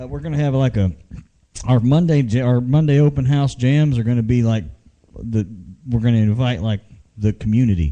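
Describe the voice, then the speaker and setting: A man's dark, mellow voice at a medium pitch, lively in intonation and fairly quick, broken by long, frequent pauses. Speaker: internet radio show host. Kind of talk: casual live show chat. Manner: loud.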